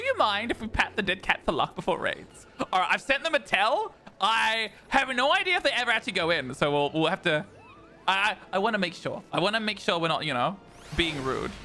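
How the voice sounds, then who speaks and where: A man with an Australian accent uses a raised, projected voice with a high pitch, very wide pitch swings and a fairly quick pace over noticeable background noise. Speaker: vtuber streamer. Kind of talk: gaming livestream chat. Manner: stammering, repeats words.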